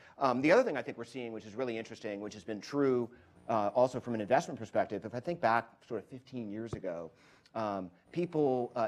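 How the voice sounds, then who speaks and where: At a very fast pace, a man speaks at a medium pitch with ordinary pitch variation and big swings in loudness. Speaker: venture capital investor. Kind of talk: panel discussion.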